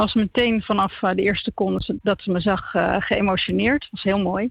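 A woman talks in an ordinary speaking voice at a medium pitch and a moderate pace. The sound is dry and close with no echo. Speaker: theatre maker. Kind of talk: interview. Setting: phone call.

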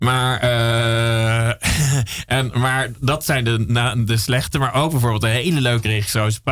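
Over noticeable background noise, a man speaks at a very slow pace with a medium pitch, fairly even intonation and very even loudness. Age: 40s. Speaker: radio host. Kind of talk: casual chat. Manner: halting.

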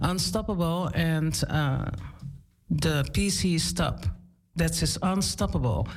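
A woman talks at a very slow pace with a very deep, low pitch. Long, frequent pauses break up her speech. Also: lively intonation. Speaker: radio host and DJ. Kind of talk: casual radio show with interview. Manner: animated.

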